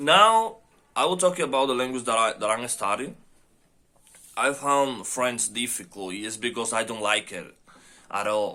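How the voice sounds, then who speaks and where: The voice has a bright, sharp tone and a non-native accent, with ordinary pitch variation. It moves at a fairly slow pace, broken by long, frequent pauses. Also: man, medium pitch for a man. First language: not English. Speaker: language learner. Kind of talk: casual monologue answering questions. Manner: halting with many fillers.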